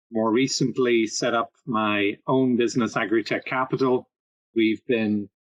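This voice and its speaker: A man speaks at a moderate pace with a slight Irish accent and fairly even intonation. His medium-pitched voice sounds dry and close, with no echo. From Ireland. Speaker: agritech consultant and investor. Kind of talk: podcast interview.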